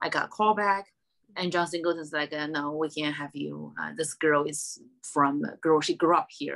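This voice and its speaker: In a strong Chinese accent, a woman with a very deep, low pitch speaks at a moderate pace with fairly even intonation, in a very clean recording with a silent background. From China. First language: Mandarin Chinese. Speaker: stand-up comedian. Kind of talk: casual interview chat. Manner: halting, many fillers and repeats.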